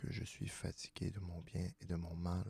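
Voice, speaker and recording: Whispering in a calm tone, a man talks at a very slow pace. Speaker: ASMR reader. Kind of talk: soft-spoken ASMR philosophy reading. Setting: studio, close microphone. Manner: soft-spoken, whispery, calm.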